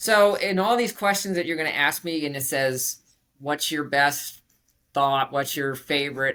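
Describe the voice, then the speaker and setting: In a very clean recording with a silent background, a woman with an American accent speaks at a fairly slow pace. Her very deep, low pitch carries lively intonation and a bright, sharp tone. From Virginia, US. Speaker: computer science professor. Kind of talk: interview.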